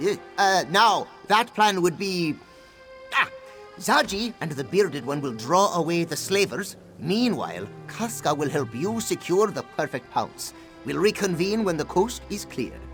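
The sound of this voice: With faint music in the background, a man does a high-pitched put-on character voice with big pitch swings and a fairly bright tone at a fairly slow pace.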